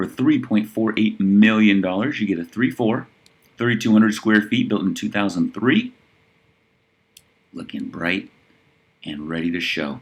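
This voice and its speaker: Speaking at a moderate pace with long, frequent pauses, a man uses a fairly low pitch and ordinary pitch variation. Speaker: real estate listings reviewer. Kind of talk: listing review monologue. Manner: casual, conversational.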